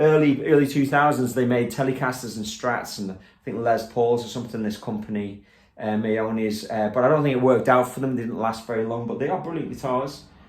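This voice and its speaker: Speaking fairly quickly with a Liverpool accent, a man at medium pitch keeps his intonation fairly even amid audible room echo. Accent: Liverpool (Scouse) English. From England, Liverpool. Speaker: guitarist and guitar teacher. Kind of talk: casual studio tour walkthrough. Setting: home teaching studio. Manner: relaxed, with many fillers.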